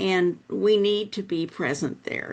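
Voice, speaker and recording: A woman at a very slow pace with ordinary pitch variation, over a quiet background. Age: 70s. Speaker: faith leader. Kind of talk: panel discussion. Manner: halting.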